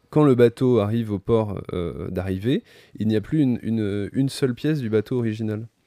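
Recorded very cleanly against a silent background, with a dry, close sound and no echo, a man with a medium pitch and a dark, mellow tone talks at a fairly quick pace. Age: 30s. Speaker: novelist. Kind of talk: casual chat.

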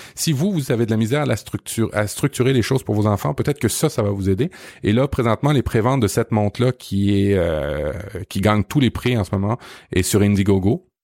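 Someone with a Quebec accent talks at a fairly quick pace with lively intonation. The recording is very clean, with a silent background and a dry, close sound with no echo. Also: man, fairly low pitch for a man. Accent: Québécois French. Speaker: podcast host. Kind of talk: casual chat.

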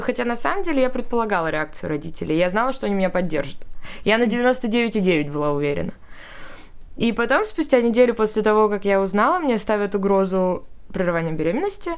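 The speech races at a very fast pace with very wide pitch swings. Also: woman. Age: 20s. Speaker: young mother sharing her story. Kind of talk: casual chat. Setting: studio.

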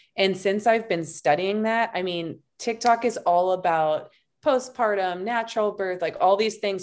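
On a very clean recording with a silent background, a woman of medium pitch uses a plain, everyday voice, with ordinary pitch variation at a moderate pace. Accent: American. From Montana. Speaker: branding coach and podcaster. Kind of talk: casual chat.

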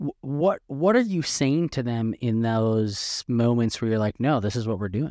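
A man's dark, mellow voice at medium pitch and a fairly slow pace, dry and close with no echo. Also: ordinary pitch variation, hardly any pauses, very clean recording, silent background. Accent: American. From Wisconsin. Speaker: podcast host, former journalist. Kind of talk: interview.

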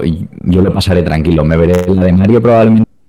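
A man speaks with a very deep, low pitch and a dark, mellow tone, keeping his intonation fairly even. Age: 20s. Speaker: video game PR and author. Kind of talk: casual chat.

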